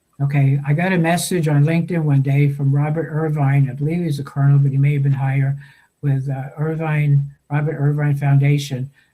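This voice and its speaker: Fairly quick, monotone speech from a man with an American accent, his fairly high voice dark, mellow and somewhat breathy, with audible room echo. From New York. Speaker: veterans' storyteller, founder. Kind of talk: interview. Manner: halting.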